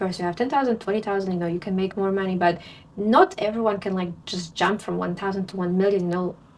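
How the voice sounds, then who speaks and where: A woman with a Polish accent talks with fairly even intonation. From Poland. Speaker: language teacher. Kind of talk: casual talking-head advice video. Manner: conversational with fillers.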